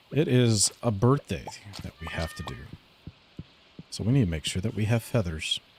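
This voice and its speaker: A man talks at a moderate pace in a relaxed tone, with lively intonation and big swings in loudness. Long, frequent pauses break his speech over noticeable background noise. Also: medium pitch for a man. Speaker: live-streaming gamer. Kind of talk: casual live gaming stream with chat reading. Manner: relaxed, chatty.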